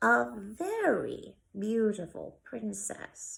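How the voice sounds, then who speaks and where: A woman's put-on character voice at a very slow pace. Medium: read story. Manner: slow, deliberate.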